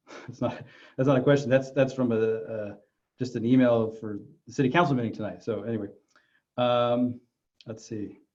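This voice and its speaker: In a room with audible echo, a man at medium pitch talks at a fairly quick pace with fairly even intonation, big swings in loudness and long, frequent pauses. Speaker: mayor. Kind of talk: virtual town hall Q&A. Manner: fast; halting, many fillers.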